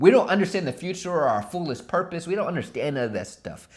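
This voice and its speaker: A man speaks in an animated tone with lively intonation and vocal fry. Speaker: motivational youtuber. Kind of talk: motivational talk to camera. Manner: fast; animated, with fillers and repetitions.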